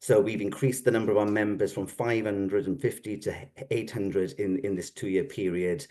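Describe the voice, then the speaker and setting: Here a man speaks fairly quickly in a Welsh accent, his fairly low pitch varying in an ordinary way. His tone is dark and mellow, and the background is quiet. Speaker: psychotherapy organisation representative. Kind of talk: formal presentation.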